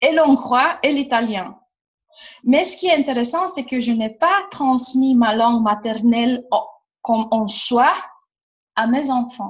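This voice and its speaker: A woman with a Romanian accent, high-pitched, at a very slow pace with ordinary pitch variation. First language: Romanian (speaking French). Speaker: workshop facilitator. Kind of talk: casual chat. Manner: animated.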